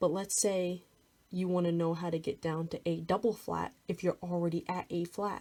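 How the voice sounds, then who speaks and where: Speaking at a fairly slow pace, a woman has a fairly low pitch, a dark, mellow tone and a monotone, flat intonation. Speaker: music theory tutor. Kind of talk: tutorial. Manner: casual.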